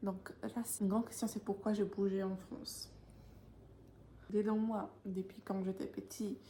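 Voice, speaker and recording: In a Polish accent, the speaker uses a dark, mellow, somewhat breathy voice with monotone, flat intonation at a very slow pace. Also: woman. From Poland. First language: Polish (speaking French). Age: 20s. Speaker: vlogger. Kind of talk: casual vlog talk to camera. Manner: hesitant, many fillers.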